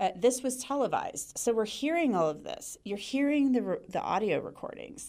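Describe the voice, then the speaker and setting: A woman with an American accent talks at a high pitch with a dark, mellow tone. Her pitch swings very widely, and she leaves hardly any pauses. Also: moderate pace. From Cincinnati, Ohio. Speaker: TV news anchor and reporter. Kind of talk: casual interview chat.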